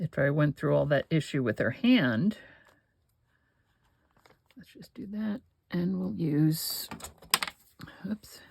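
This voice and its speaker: A woman's put-on character voice, very deep and low, mumbling at a fairly slow pace with long, frequent pauses, very wide pitch swings and big swings in loudness. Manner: mumbling, indistinct.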